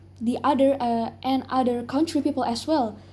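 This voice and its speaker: Dark and mellow in tone, this voice carries an Indonesian accent with ordinary pitch variation. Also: woman. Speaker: English learner in speaking test. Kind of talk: oral exam interview. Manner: halting, many fillers.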